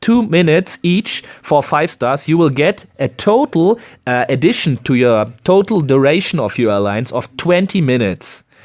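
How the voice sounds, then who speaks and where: In a German accent, a man speaks at a moderate pace. His pitch is fairly high, with very wide swings. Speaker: gaming YouTuber. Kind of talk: tutorial. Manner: halting.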